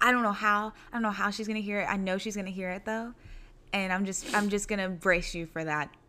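A woman's bright, sharp voice runs at a fairly quick pace with fairly even intonation, on a very clean recording with a silent background. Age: 20s. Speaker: podcast host. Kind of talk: casual chat. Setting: dining room at home.

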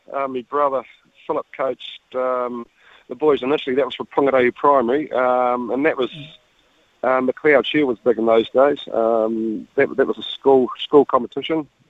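With a New Zealand accent, a man speaks at a moderate pace in a medium pitch, his intonation monotone and flat. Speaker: dairy farmer, father of rugby players. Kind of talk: radio interview.

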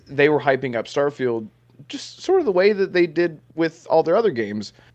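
A man speaks at a moderate pace. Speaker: gaming content creator, podcaster. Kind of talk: casual podcast chat.

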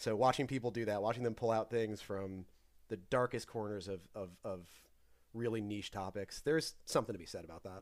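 A man with a normal speaking voice, fairly low in pitch with ordinary pitch variation, fairly quick, with big swings in loudness, in a very clean recording with a silent background. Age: 30s. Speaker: data analyst and former quiz show contestant. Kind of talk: casual chat.

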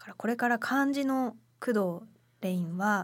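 Lively intonation marks this woman's somewhat breathy voice. The recording is very clean, with a silent background. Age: 20s. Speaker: radio co-host and essay writer. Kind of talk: casual chat.

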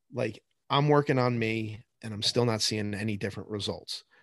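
With an American accent and a normal speaking voice, the speaker talks at a moderate pace with ordinary pitch variation, in a dry, close sound with no echo against a quiet background. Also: man. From New Jersey. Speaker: high school science teacher. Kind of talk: casual chat.

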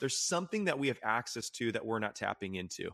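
Over a quiet background, a man with a plain, everyday voice of medium pitch speaks at a fairly quick pace, the sound dry and close with no echo. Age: 20s. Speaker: faith-based mental health nonprofit co-founder, former youth pastor. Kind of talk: casual interview conversation about faith.

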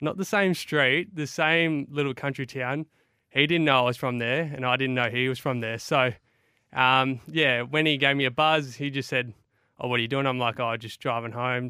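Speaking with an Australian accent, a man delivers his lines. His intonation is fairly even. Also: medium pitch for a man, moderate pace. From Broken Hill, New South Wales. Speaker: football player, new recruit. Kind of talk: radio interview.

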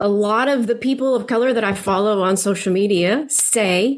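A woman with a normal speaking voice talks fairly slowly at a fairly high pitch, with ordinary pitch variation. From Philippines (American missionary family). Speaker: anti-racism course creator, adoptive mother. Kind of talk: interview. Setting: remote call.

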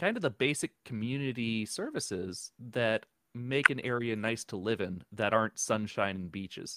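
In an American accent, a man uses an ordinary speaking voice with medium pitch, ordinary pitch variation and a moderate pace. The recording is very clean, with a silent background and a dry, close sound with no echo. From New Jersey. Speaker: podcaster, tech worker, Air Force veteran. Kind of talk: casual interview.

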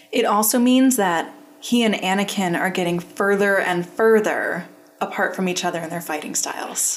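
Noticeable background noise behind a woman at a moderate pace with ordinary pitch variation. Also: medium pitch for a woman. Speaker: podcast host. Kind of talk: casual chat.

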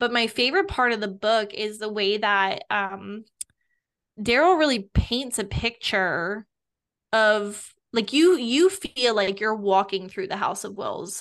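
Here is a woman with an ordinary speaking voice and a fairly high pitch. Her pace is fairly slow, and her pitch varies in an ordinary way. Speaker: podcast co-host. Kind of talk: casual chat.

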